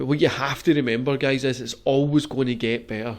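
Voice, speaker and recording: A man at a medium pitch and a very fast pace, with fairly even intonation against a quiet background. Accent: Glaswegian. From Scotland, Glasgow. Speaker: podcast host. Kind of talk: casual chat.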